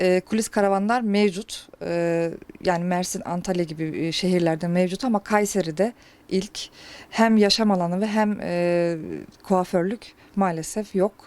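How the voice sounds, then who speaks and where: Her medium-pitched voice moves at a fairly slow pace with fairly even intonation. The woman is recorded very cleanly against a silent background. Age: 30s. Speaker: hairdresser. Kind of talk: interview. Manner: hesitant, many filler sounds.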